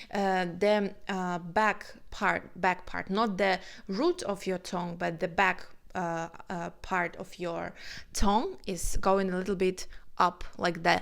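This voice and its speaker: A woman's medium-pitched, monotone voice with a non-native accent, flat intonation and a very slow pace, on a very clean recording with a silent background. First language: not English. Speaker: vocal coach and singer. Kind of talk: reaction video with vocal analysis. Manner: halting, many fillers.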